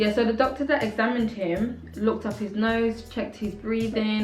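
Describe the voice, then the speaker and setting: A woman talks at a moderate pace amid noticeable background noise and audible room echo. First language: not English. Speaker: family vlogger. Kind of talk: casual vlog talk to camera.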